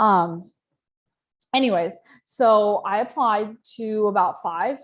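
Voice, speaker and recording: Against a quiet background, a woman talks in a plain, everyday voice at a medium pitch with ordinary pitch variation. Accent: American. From US South, Georgia. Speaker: university student and former space agency intern. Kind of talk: interview.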